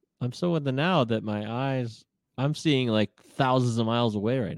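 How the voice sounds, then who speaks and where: Speaking at a moderate pace, a man has an unremarkable speaking voice with medium pitch and ordinary pitch variation. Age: 50s. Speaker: podcast co-host. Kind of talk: casual chat. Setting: live stream.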